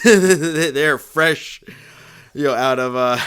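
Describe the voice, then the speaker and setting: With an American accent, a man speaks at a fairly slow pace and a fairly high pitch, with ordinary pitch variation. There is noticeable background noise. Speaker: book club podcast host. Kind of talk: casual chat. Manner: halting, many repeats and fillers.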